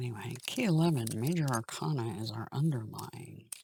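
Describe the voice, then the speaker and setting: A woman speaks with a very deep, low pitch, ordinary pitch variation and a somewhat breathy quality. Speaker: tarot reader. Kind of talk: tarot reading monologue. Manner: slow.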